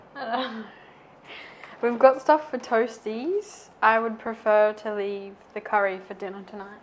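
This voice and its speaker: A woman with an Australian accent and a fairly high pitch talks at a fairly slow pace with ordinary pitch variation and big swings in loudness, over noticeable background noise. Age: young. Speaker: vlogger. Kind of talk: casual chat. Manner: soft-spoken.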